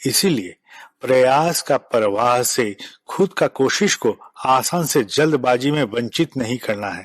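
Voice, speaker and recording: A man's medium-pitched voice with a non-native accent and lively intonation, dry and close with no echo, against a quiet background. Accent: non-native Hindi. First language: Bengali (speaking Hindi). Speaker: spiritual leader. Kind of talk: spiritual address. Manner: formal.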